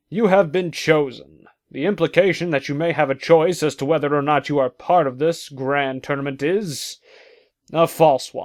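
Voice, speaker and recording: Put-on character voice from a man, fairly high-pitched and moderately paced. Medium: audio drama. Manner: exasperated, whiny.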